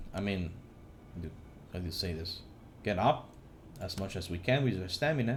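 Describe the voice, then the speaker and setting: Lively intonation carries this man's voice through audible room echo. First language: not English. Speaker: gaming YouTuber. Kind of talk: tutorial. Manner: halting, many fillers and restarts.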